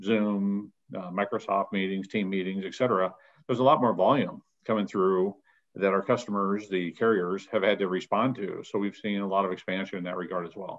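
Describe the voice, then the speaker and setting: A man talks at a fairly quick pace against a quiet background. He has a plain, everyday voice. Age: 50s. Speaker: data center company president; guest. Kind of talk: interview. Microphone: video call.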